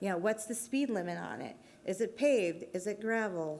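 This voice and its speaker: A woman speaks with audible room echo around her. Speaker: transportation planner giving a conference talk. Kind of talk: conference presentation. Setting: stage with audience. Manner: casual with frequent fillers.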